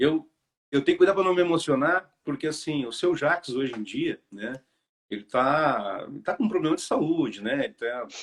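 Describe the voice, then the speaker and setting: A man's fairly high voice carries lively intonation and moves at a moderate pace. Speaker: hairdresser. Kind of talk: casual chat.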